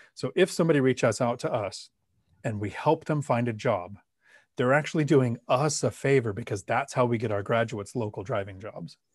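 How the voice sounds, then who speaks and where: A man at medium pitch talks at a fairly quick pace, somewhat breathy, with ordinary pitch variation. The recording is very clean, with a silent background. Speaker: Marine veteran and real estate investor. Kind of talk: interview.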